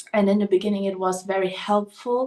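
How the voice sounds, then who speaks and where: A woman speaks at medium pitch with a German accent. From Germany. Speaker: podcast host. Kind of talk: personal monologue. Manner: hesitant, filler-heavy.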